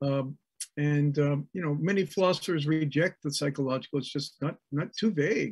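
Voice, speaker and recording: Somewhat breathy, a man talks at a moderate pace in a dry, close sound with no echo. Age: 60s. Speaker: psychology professor. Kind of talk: academic discussion. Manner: halting, many fillers.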